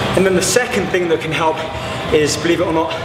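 A man's voice against noticeable background noise. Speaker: fitness trainer. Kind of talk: casual tutorial talk. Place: gym.

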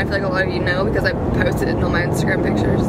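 Against loud background noise, a woman talks very fast, the sound dry with no echo. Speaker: vlogger. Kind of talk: casual vlog chat. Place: car. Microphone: phone near.

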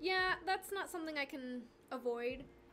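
A high-pitched woman at a moderate pace, with music in the background. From Argentina. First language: Spanish. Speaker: craft livestreamer. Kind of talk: casual livestream chat with viewers. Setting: livestream. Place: home room.

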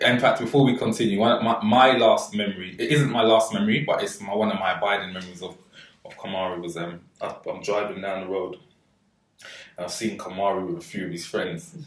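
At a fairly quick pace, a man with fairly low pitch speaks with ordinary pitch variation and big swings in loudness. Audible room echo surrounds the voice. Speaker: podcast host. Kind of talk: interview storytelling. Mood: warm, fond, smiling. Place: kitchen.

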